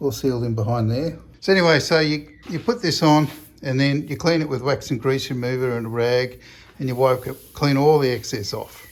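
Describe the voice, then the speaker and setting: A man with an Australian accent mumbles at a fairly quick pace. His pitch is medium, with ordinary pitch variation. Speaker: car restoration hobbyist. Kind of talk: casual workshop vlog. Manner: mumbling; halting.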